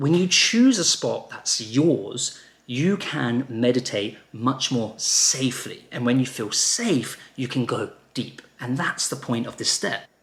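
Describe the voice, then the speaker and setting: A man's medium-pitched voice with an English accent, very slow, with ordinary pitch variation. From England. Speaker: meditation teacher. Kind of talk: tutorial.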